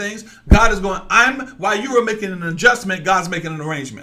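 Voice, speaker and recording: Speaking very fast in a raised, projected voice, a man with a high pitch and an animated tone comes through over noticeable background noise and audible room echo. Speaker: online preacher. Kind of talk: sermon. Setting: livestream. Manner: loud.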